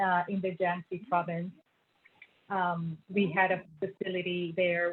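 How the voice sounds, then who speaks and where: With a slight Puerto Rican accent, a woman speaks at a moderate pace in a fairly low pitch, her intonation monotone and flat. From Puerto Rico. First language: Spanish. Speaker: feng shui consultant and former engineer. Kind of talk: interview. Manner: hesitant, many fillers.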